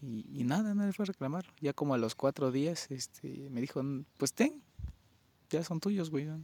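With a Mexican accent, a man speaks at a moderate pace in a fairly high, dark, mellow voice with lively intonation, the sound dry and close with no echo. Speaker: podcast co-host. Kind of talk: casual chat.

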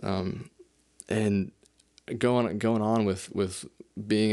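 A man's fairly low-pitched voice with monotone, flat intonation against a quiet background. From US West, South Lake Tahoe, California. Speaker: podcast host. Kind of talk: solo monologue, casual. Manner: hesitant, filler-heavy.

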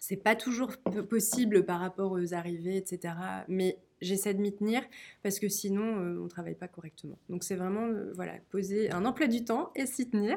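The recording is very clean, with a silent background. A woman with an ordinary speaking voice talks at a moderate pace and medium pitch, with ordinary pitch variation. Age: 30s. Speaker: author and guesthouse owner. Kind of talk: storytelling; interview.

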